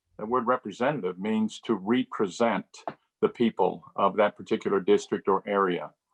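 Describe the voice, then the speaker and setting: In an unremarkable speaking voice, a man with a fairly low pitch talks at a moderate pace with fairly even intonation. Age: 60s. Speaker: political candidate, incumbent state representative. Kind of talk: candidate interview answers.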